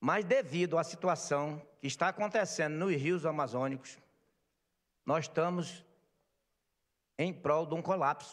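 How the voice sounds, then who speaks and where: A man's fairly high-pitched voice, with long, frequent pauses, over a quiet background. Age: 60s. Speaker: market vendor representative. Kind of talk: speech at legislative session. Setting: legislative assembly plenary. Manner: impassioned.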